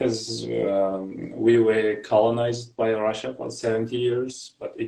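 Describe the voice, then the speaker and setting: A man talks at a fairly slow pace in a medium pitch. His tone is dark and mellow, and his intonation is monotone and flat. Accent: Kazakh. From Kazakhstan. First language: Kazakh. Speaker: graduate student and English teacher. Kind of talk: casual interview. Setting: live video call. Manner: halting.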